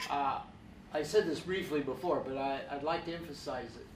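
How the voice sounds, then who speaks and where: A man talks with noticeable noise in the background and audible echo from the room. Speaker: professor. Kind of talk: panel discussion. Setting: stage with audience.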